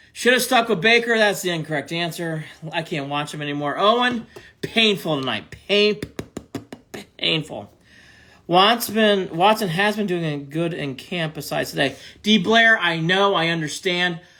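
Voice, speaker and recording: A man with an American accent speaks loudly at a moderate pace. His high voice has an animated tone. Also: ordinary pitch variation. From Cleveland, Ohio, US Midwest. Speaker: sports podcast host. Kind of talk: live-stream sports talk reacting to chat. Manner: animated, loud; repetitive, emphatic.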